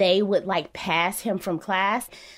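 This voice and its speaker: A woman with an American accent uses an ordinary speaking voice at a medium pitch and moderate pace in a very clean recording with a silent background. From Chicago. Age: 30s. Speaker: journalist and professor, parent. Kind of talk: interview conversation.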